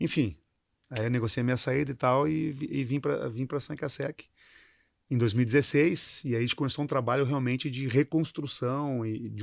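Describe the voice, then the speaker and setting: A man's medium-pitched voice at a fairly quick pace, fairly even intonation, on a very clean recording with a silent background. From southern Brazil, Rio Grande do Sul. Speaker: company CEO. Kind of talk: interview. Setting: studio panel. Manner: halting, repeats words.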